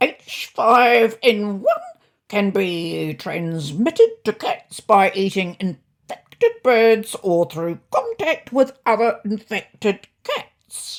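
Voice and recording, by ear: Using a put-on character voice, a woman speaks at a very slow pace, her pitch swinging very widely. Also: medium pitch for a woman.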